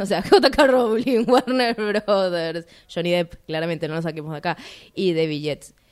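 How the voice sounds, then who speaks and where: A woman uses a normal speaking voice, fairly low in pitch, with lively intonation at a moderate pace. The recording is very clean, with a silent background. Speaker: radio film show co-host. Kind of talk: casual chat.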